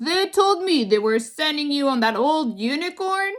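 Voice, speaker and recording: Putting on a character voice, a woman speaks gruffly at a high pitch and a moderate pace, her pitch swinging very widely. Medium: read story. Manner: teasing and warm.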